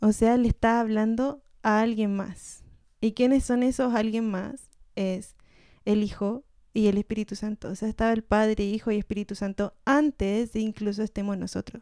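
A woman's fairly high, dark and mellow voice in a Chilean accent, flat and monotone at a moderate pace, with a dry, close sound and no echo. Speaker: podcast co-host. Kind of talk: casual chat.

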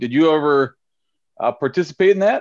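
An unremarkable speaking voice from a man with an American accent, pitched fairly high. He talks at a fairly quick pace with lively intonation. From St. Paul, Minnesota. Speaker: podcast host and high school softball coach. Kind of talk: casual chat.

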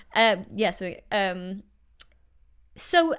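A woman's medium-pitched voice with vocal fry and lively intonation. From northeast England (Newcastle). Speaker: DJ and radio show host. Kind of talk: casual interview.

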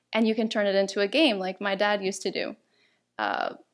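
A woman with a normal speaking voice talks at a moderate pace in a medium pitch, recorded very cleanly over a silent background. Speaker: table topics champion and workshop speaker. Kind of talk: interview answering host's questions, explaining tips.

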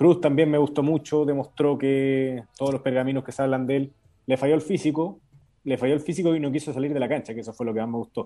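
A man speaks at a very fast pace with a dark, mellow tone. His intonation stays fairly even. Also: fairly high pitch for a man. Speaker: sports journalist. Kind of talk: sports analysis.

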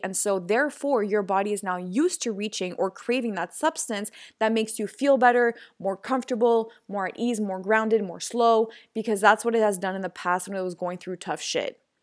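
Animated in tone, a woman speaks at a fairly high pitch and a fairly quick pace. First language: French. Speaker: podcast host, healing and meditation coach. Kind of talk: casual solo podcast monologue. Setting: outdoors in a park.

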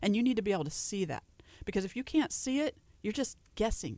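A woman with a Southern US accent and ordinary pitch variation, on a very clean recording with a silent background. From Louisiana. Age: 40s. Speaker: nutritionist. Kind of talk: radio interview. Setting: radio studio.

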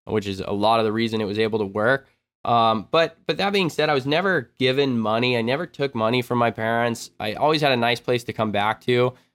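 This is a plain, everyday voice with ordinary pitch variation. It moves at a fairly quick pace with hardly any pauses. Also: man, medium pitch for a man. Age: 20s. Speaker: extreme sports YouTuber and filmmaker. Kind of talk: casual chat.

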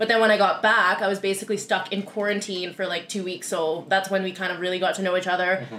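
A woman with a Canadian accent at a very fast pace, medium in pitch, fairly even in intonation, with noticeable background noise. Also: hardly any pauses. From Canada, Winnipeg, Manitoba. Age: 20s. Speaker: podcast co-host. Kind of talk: casual chat.

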